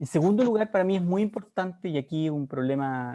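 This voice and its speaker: A man is speaking. The sound is dry and close, with no echo at all. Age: 60s. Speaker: political candidate. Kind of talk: debate opening statement. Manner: halting.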